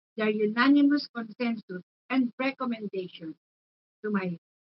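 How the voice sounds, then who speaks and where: A woman speaks fairly slowly in a fairly high voice. It is somewhat breathy, with ordinary pitch variation. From Philippines, Manila. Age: 70s. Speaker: testimony speaker. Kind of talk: testimony. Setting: faith conference. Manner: formal.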